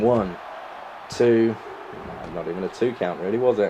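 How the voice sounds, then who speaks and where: There is noticeable background noise as a man speaks with an English accent. His voice is fairly low, with fairly even intonation. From England. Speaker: gaming YouTuber. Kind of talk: gameplay commentary. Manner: fast.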